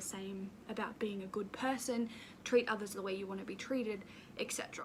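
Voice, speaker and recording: This woman speaks with an Australian accent. Her pitch sits fairly high. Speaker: YouTuber. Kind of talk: casual vlog talk to camera.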